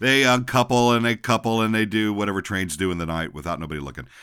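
On a very clean recording with a silent background, a man talks at a fairly quick pace in a bright, sharp tone with lively intonation. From Texas. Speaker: podcast host. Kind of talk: casual monologue. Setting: home office. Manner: loud; halting, many fillers.

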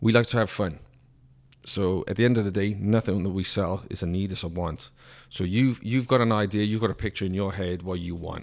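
Here a man with a Welsh accent speaks. His pitch is fairly low and his pace fairly quick. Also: very clean recording, silent background. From Wales. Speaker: car dealership salesman. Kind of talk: casual chat. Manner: joking, animated.

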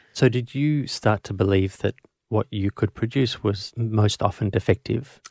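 A man talks at a moderate pace with a fairly low pitch, ordinary pitch variation and a somewhat breathy quality. The sound is dry and close with no echo, on a very clean recording with a silent background. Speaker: paediatrician and podcast host. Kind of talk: interview.

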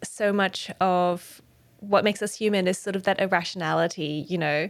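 A woman speaks with an Australian accent at a medium pitch. Her pace is moderate, on a very clean recording with a silent background. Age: 30s. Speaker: podcast host. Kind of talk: interview. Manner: hesitant.

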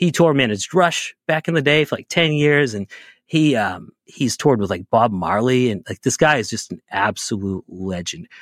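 A man with an American accent speaks at a moderate pace in a medium pitch, his voice swinging very widely in pitch, on a very clean recording with a silent background and a dry, close sound with no echo. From US Northeast, Boston area. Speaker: podcast host and band tour manager. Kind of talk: casual chat.

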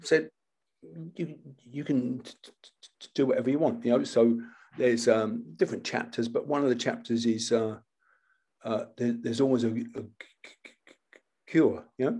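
Moving at a moderate pace, a man's voice swings very widely in pitch. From Britain. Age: 70s. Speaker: martial arts instructor. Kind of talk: casual chat.

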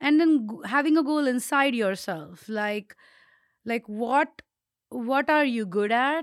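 A high-pitched woman at a very slow pace, lively in intonation, in a very clean recording with a silent background and a dry, close sound with no echo. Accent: non-native. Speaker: podcast co-host. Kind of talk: casual chat. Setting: studio, same room.

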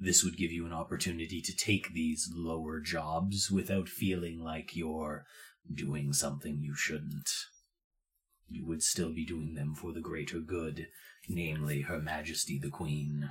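Putting on a character voice, a man talks in a very deep, low pitch with monotone, flat intonation. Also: moderate pace, very clean recording, silent background. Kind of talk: fantasy tabletop character voice. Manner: formal, measured, coolly courteous, quietly threatening.

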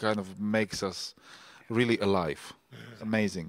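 A man's fairly low voice at a moderate pace, dry and close with no echo, in a very clean recording with a silent background. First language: Slovak. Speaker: festival organizer and podcast host. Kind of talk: panel discussion. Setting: live stage with audience.

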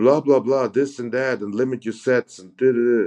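The voice has a dark, mellow tone and a German accent, recorded with a dry, close sound with no echo. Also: man. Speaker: professional bodybuilder. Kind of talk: casual chat.

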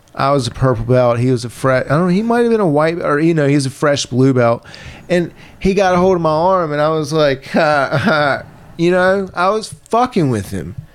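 A man with an American accent, fairly high in pitch, lively intonation and very even loudness, over noticeable background noise. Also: moderate pace. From Virginia. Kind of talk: casual chat.

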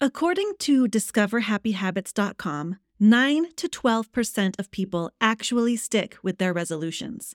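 Upbeat and animated, a woman speaks at a fairly high pitch and a moderate pace with very wide pitch swings, in a dry, close sound with no echo on a very clean recording with a silent background. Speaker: podcast host and author coach. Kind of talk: solo podcast monologue. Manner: upbeat, animated. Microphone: brand new microphone.

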